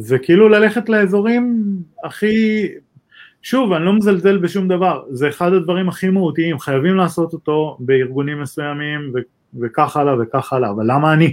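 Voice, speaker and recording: A man talks at a moderate pace. His voice is high-pitched, with lively intonation. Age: 40s. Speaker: cybersecurity executive. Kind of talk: interview.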